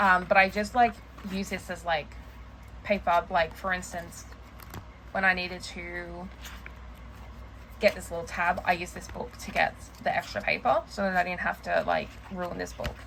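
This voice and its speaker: A woman speaks with big swings in loudness and long, frequent pauses over noticeable background noise. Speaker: planner and journaling vlogger. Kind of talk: casual show-and-tell vlog. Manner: fast; halting, filler-heavy.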